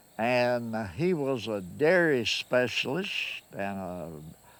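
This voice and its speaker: A man with a Kentucky accent speaks at a medium pitch with very wide pitch swings, on a very clean recording with a silent background. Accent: Southern US, Kentucky rural. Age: 80s+. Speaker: farmer. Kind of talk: interview answer.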